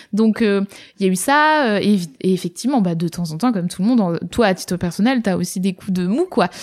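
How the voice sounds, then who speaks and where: With a fairly quick pace, a woman's unremarkable speaking voice sits at medium pitch with ordinary pitch variation, in a very clean recording with a silent background. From southern France, Var. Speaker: social entrepreneur. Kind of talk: casual interview.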